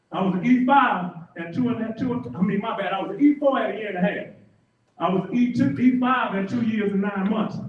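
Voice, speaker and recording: A high-pitched man with a Texas accent at a fairly quick pace, ordinary pitch variation, and audible room echo. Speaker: Navy veteran and motivational speaker. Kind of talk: motivational talk to live audience. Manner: fast.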